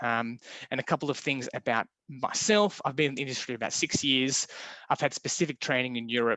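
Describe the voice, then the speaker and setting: In an Australian accent, a man talks at a fairly quick pace with a medium pitch and ordinary pitch variation. His tone is bright and sharp, and the sound is dry and close with no echo against a quiet background. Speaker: window supplier presenter. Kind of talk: webinar presentation. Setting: online webinar. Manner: fast.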